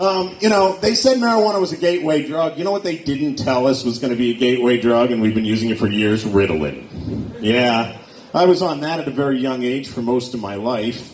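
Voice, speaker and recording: A man with an American accent talks at a fairly quick pace with hardly any pauses, his medium pitch swinging very widely. The room echo is audible, and background noise is noticeable. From Pennsylvania, Erie. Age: 40s. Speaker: stand-up comedian. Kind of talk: stand-up. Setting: stage with audience.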